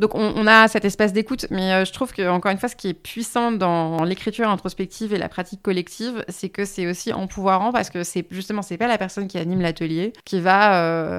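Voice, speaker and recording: A woman's medium-pitched, normal speaking voice with fairly even intonation and a fairly quick pace, on a very clean recording with a silent background. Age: 30s. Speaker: writer and feminist activist. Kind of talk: interview.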